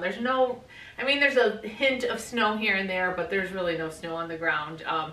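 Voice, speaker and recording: Audible room echo surrounds a woman speaking at a moderate pace with ordinary pitch variation. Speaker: home vlogger. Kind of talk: casual vlog chat. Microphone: camera far.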